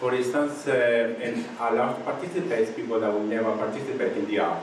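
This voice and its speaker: There is noticeable background noise as a man speaks with a Spanish accent. His pitch is medium and his pace moderate. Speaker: visual artist and activist. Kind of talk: panel discussion.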